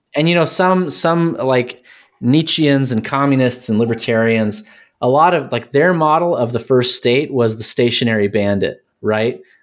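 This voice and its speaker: An American accent marks this man's speech, with a medium pitch, ordinary pitch variation, very even loudness, a moderate pace and an unremarkable speaking voice. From Texas. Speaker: academic guest with a doctorate. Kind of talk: casual chat.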